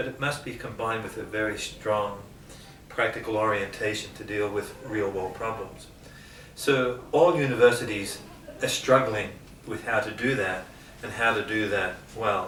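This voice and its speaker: Speaking with an Australian accent at a moderate pace, a man with a medium-pitched voice and ordinary pitch variation takes long, frequent pauses, his loudness swinging widely over noticeable background noise. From Geelong, Australia. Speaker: university lecturer on leadership. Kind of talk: interview answer.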